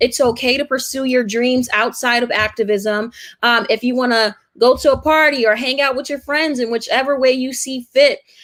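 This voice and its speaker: Fairly even in intonation, a woman with an American accent talks at a high pitch and a moderate pace. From Brooklyn, New York. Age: 20s. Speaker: activist and university student. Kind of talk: interview.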